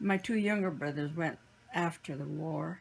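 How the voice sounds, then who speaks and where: The voice is somewhat breathy, with an American accent. Its intonation is lively. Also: woman. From US Pacific Northwest (Washington, Oregon, Idaho). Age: 80s+. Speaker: internment camp survivor, grandmother. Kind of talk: interview, personal recollection.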